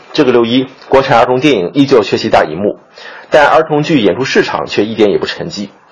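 Through noticeable background noise, a man's medium-pitched voice comes across with lively intonation. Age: young. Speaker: theatre critic. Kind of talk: scripted commentary.

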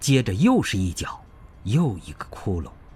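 A man's very slow speech with vocal fry and very wide pitch swings. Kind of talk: literary audiobook reading. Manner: vivid, emotional, measured pacing.

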